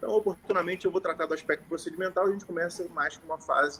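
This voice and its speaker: A man with a strong Carioca accent talks with ordinary pitch variation. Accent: carioca, strong chiado. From Rio de Janeiro, Brazil. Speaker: notary. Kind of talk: informal talk to lawyers on a live stream. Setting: live stream.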